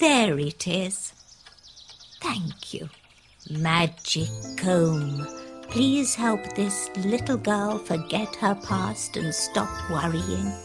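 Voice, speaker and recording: Someone uses a put-on character voice at a middle pitch. The pace is very slow, with faint music in the background. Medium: read story. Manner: sweet, motherly.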